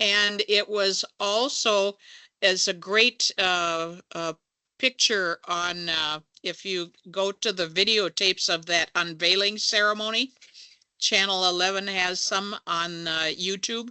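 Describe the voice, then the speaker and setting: Speaking at a very slow pace, a woman keeps her medium-pitched voice fairly even in intonation. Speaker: labor movement fundraiser and panelist. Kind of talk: panel discussion. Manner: halting, many fillers.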